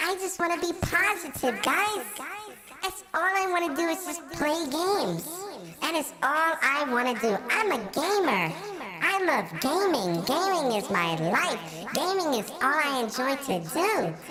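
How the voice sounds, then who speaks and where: Over clear background noise, a high-pitched, put-on character voice talks at a fairly slow pace. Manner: mocking, sarcastic, overly sweet.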